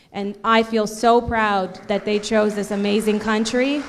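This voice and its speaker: A woman's fairly high-pitched voice in monotone, flat intonation at a fairly slow pace, with audible room echo and crowd noise in the background. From Canada, Ontario (Cambridge), Portuguese immigrant family. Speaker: event host, TV entertainment presenter. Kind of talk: closing remarks at gala. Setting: stage with audience at gala. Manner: loud.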